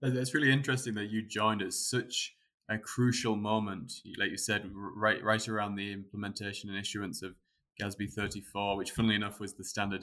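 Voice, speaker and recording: Here is a man with a plain, everyday voice, fairly low in pitch. He speaks at a fairly quick pace with fairly even intonation. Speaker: accounting firm partner and podcast host. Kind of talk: podcast interview.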